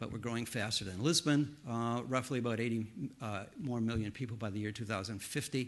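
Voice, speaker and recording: A man's medium pitch in an American accent, fairly quick pace and ordinary pitch variation, with audible room echo. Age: 70s. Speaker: professor. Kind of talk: conference talk. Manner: halting.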